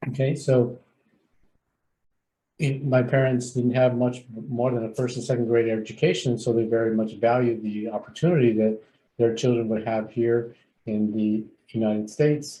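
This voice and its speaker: At a moderate pace, a man with a medium-pitched, dark and mellow, somewhat breathy voice speaks with fairly even intonation and long, frequent pauses. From San Fernando Valley, California. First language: Spanish. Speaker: clinical psychologist and agency CEO. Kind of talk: onboarding presentation.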